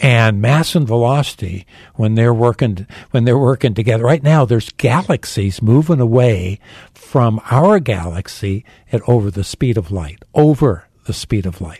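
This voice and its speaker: Somewhat breathy, with a dark, mellow tone, the voice speaks at a moderate pace with lively intonation in an American accent. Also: man, medium pitch for a man. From Phoenix, Arizona. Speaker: pastor. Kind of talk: interview.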